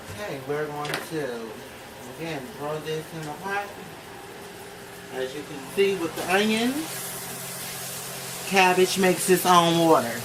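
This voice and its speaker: Very deep and low, a woman's voice moves at a fairly slow pace with long, frequent pauses and big swings in loudness over noticeable background noise. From Richmond, Virginia. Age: 20s. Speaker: entrepreneur, YouTuber. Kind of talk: casual cooking talk to camera. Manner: playful, profane.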